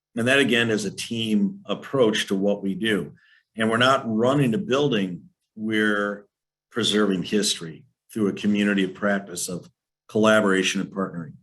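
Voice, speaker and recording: Over a silent background in a very clean recording, a man with a fairly low pitch and a plain, everyday voice speaks at a moderate pace with ordinary pitch variation. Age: 60s. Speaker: historical society leader. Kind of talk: presentation.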